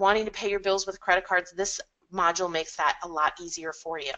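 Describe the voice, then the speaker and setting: This woman's voice has a bright, sharp tone at a medium pitch. Her intonation stays fairly even. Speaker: software consultant presenting products. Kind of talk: webinar product presentation. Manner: fast.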